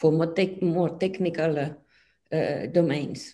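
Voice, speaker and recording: With a Finnish accent, a woman speaks in a dark, mellow tone at a fairly low pitch, her pitch varying in an ordinary way. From Finland. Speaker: physics professor. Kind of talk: interview. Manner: halting. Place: home room. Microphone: video call.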